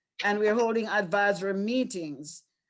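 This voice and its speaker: At a moderate pace, a woman speaks in a Caribbean accent. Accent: Caribbean, British-oriented. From Caribbean islands. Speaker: school district leader. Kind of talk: panel talk.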